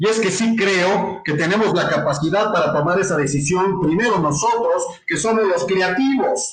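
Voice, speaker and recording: A high-voiced man speaks at a moderate pace with hardly any pauses and very even loudness. His pitch varies in an ordinary way, and room echo is audible. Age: 60s. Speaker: business consultant and entrepreneur. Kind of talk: interview. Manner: hesitant, with repetitions.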